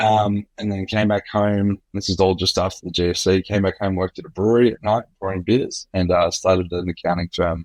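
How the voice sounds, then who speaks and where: A man with an Australian accent talks at a fairly quick pace with hardly any pauses, his pitch fairly low. His intonation is monotone and flat, and the sound is dry and close with no echo. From Australia, Sydney. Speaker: tech company executive. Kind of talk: interview.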